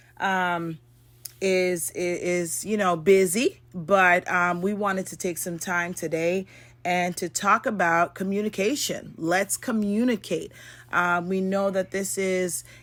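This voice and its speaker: A loud, bright and sharp woman's voice at medium pitch, very slow and fairly even in intonation, in a very clean recording with a silent background. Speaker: podcast co-host. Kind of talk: casual chat.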